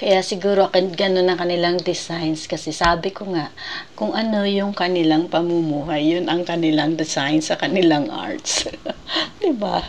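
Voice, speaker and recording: Over noticeable background noise, a woman speaks at a moderate pace and a fairly low pitch, with ordinary pitch variation. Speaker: travel vlogger. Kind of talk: casual museum tour narration. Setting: indoor museum room.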